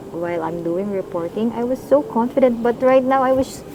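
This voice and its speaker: A Cebuano accent against noticeable background noise. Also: woman. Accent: Filipino (Cebuano). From Philippines, Cebu province. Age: 20s. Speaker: school teacher. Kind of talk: casual interview. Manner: halting, hesitant.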